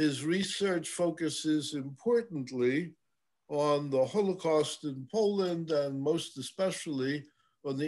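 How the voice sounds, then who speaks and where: At a very slow pace, a man talks with ordinary pitch variation against a quiet background. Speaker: host introducing a lecture speaker. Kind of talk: formal introduction. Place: home room. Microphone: webcam.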